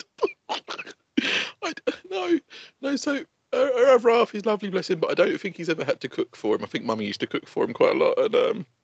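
Very fast between long, frequent pauses, a man speaks with an English accent. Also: dry, close sound with no echo. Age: 30s. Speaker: podcast co-host. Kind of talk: casual chat.

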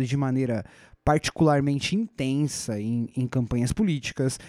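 A man's dark, mellow tone comes through on a very clean recording over a silent background. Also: dry, close sound with no echo. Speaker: podcast host, educator. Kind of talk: solo educational podcast monologue. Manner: casual, conversational.

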